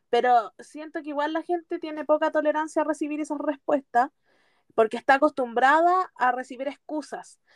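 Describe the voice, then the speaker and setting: A woman speaks at a moderate pace with a Chilean accent. Her pitch is high, with ordinary variation. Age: 20s. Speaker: podcast co-host. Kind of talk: casual chat. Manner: animated.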